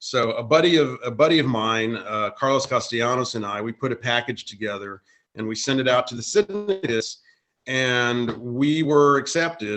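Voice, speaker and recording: With an American accent, a man speaks at a moderate pace and medium pitch, showing ordinary pitch variation. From US South, South Texas. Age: 50s. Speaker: cartoonist. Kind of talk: panel discussion. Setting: video call. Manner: halting.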